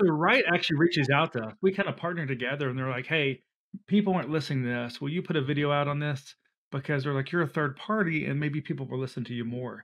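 Speaking very fast with a Southern US accent, a man with fairly high pitch shows ordinary pitch variation. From US South, Alabama and Georgia. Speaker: flood insurance expert. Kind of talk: casual interview.

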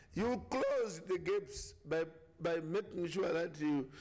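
With audible room echo, a man speaks slowly at a fairly high pitch, his tone slightly mellow and his intonation lively.

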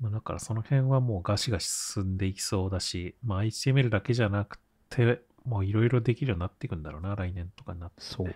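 A somewhat breathy, very fast delivery with big swings in loudness and ordinary pitch variation, in a very clean recording with a silent background and a dry, close sound with no echo. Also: man, fairly low pitch for a man. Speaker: podcast co-host. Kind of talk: casual chat.

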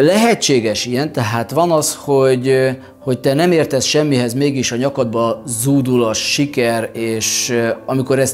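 Faint music plays in the background while a man speaks with ordinary pitch variation. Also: fairly slow pace. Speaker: vlogger, speaker. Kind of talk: reflective vlog monologue. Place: studio.

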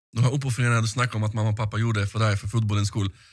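Against a quiet background, a man with a fairly low pitch speaks in a somewhat breathy voice with a monotone, flat intonation. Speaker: podcast host. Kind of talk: casual chat interview. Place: studio. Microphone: studio mic.

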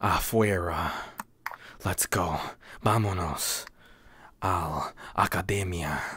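A man puts on a character voice in a Spanish accent, raspy and pitched very deep and low. He goes very slowly, with fairly even intonation and long, frequent pauses. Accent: exaggerated, bad Spanish. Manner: joking, mocking.

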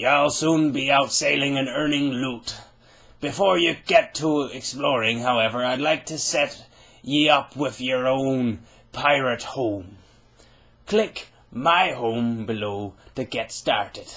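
A man's put-on character voice at medium pitch, with a fairly slow pace. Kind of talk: gameplay commentary, reading on-screen text. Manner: jovial, hearty.

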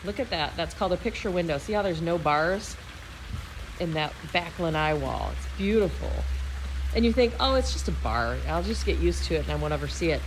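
Speech at a fairly quick pace comes through with noticeable background noise around it. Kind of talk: home tour narration. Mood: enthusiastic, admiring. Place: garden. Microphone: phone near.

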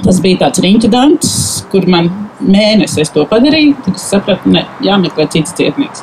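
Background noise is noticeable behind this woman. Her intonation is lively. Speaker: nail care specialist; invited storyteller. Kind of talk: testimony. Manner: halting. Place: garden. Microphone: handheld.

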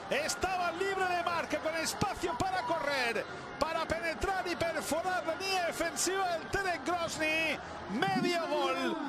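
Over noticeable background noise, a man with an extremely high pitch talks in a raised, projected, animated voice at a fairly slow pace, with very even loudness and ordinary pitch variation. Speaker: sports commentator. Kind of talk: live sports commentary. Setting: broadcast recording of a match. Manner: animated, excitable play-by-play.

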